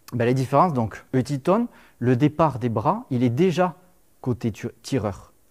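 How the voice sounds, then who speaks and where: Over a quiet background, a man at a medium pitch talks at a fairly slow pace with lively intonation. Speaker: lecturer on Roman military history, civil engineer; lecturer on Roman military history. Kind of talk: lecture. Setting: lecture hall with audience. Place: classroom.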